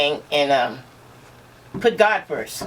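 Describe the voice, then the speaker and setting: A woman speaks at a fairly slow pace with lively intonation. Noticeable background noise runs under her voice. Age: 60s. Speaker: aneurysm survivor. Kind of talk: casual interview.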